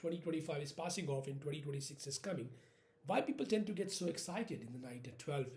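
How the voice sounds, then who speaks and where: A man's very fast, somewhat breathy speech in an Indian accent, with a fairly high pitch and a dark, mellow tone. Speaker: vlogger. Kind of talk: casual monologue. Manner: halting.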